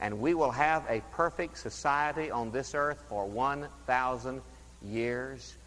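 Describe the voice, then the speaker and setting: A man talks fairly slowly in an unremarkable speaking voice, his pitch varying in an ordinary way. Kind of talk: sermon. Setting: church.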